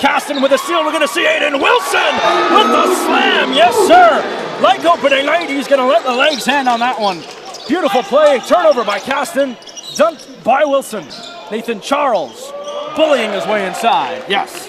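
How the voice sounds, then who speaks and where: Over noticeable background noise, a man with an extremely high pitch speaks at a moderate pace with lively intonation. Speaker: sports play-by-play broadcaster. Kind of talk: live play-by-play call.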